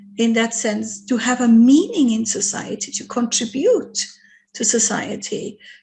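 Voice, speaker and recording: A woman with an unremarkable speaking voice, fairly high in pitch, fairly even in intonation, at a fairly slow pace. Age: 60s. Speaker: charity organisation host. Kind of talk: online interview conversation.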